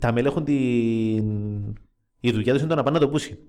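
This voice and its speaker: A man with a Cypriot accent speaks at a fairly quick pace, his medium pitch rising and falling in an ordinary way. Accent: Cypriot Greek. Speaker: football fan podcast host. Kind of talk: casual chat.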